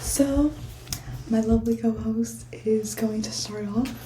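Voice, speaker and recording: A woman's voice over noticeable background noise. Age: young. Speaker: podcast host. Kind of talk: casual chat. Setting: college study room. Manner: quiet.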